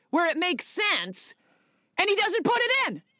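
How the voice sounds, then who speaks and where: A woman's raised, projected voice, extremely high in pitch, with a bright, sharp tone and lively intonation. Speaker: actor and podcast co-host. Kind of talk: casual chat. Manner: loud.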